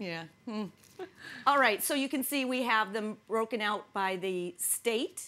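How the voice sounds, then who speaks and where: With a Midwestern accent, a woman talks at a fairly slow pace, her pitch fairly high and her tone bright and sharp. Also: ordinary pitch variation. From US Midwest. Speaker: talk show co-host. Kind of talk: casual chat.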